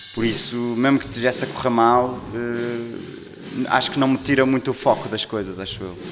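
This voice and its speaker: A man talks at medium pitch and a moderate pace with fairly even intonation and hardly any pauses. Music plays in the background, and room echo is audible. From northern Portugal, Maia. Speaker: singer. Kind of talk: casual interview chat.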